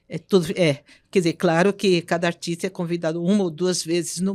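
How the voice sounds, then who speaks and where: A woman speaks fairly quickly in a fairly low, monotone voice with flat intonation, recorded very cleanly against a silent background with a dry, close sound and no echo. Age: 80s+. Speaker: concert pianist. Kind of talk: interview.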